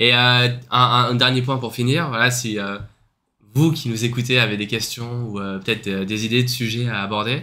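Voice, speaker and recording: A man with a bright, sharp tone speaks at a moderate pace and a medium pitch. His intonation is fairly even, and the recording is very clean with a silent background. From France. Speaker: podcast co-host. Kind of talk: casual chat. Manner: hesitant, many filler sounds.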